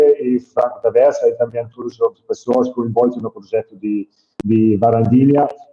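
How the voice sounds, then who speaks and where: This man speaks with a non-native accent. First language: not Portuguese (speaking Portuguese). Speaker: hydroponic farm entrepreneur. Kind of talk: webinar presentation. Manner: halting.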